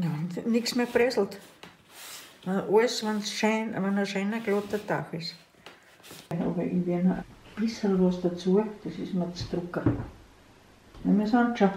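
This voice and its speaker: Speaking at a fairly slow pace with long, frequent pauses and fairly even intonation, a woman with an Austrian accent is heard over light background noise and audible room echo. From Burgenland, eastern Austria. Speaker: grandmother baker. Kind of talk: cooking demonstration. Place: kitchen. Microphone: camera far.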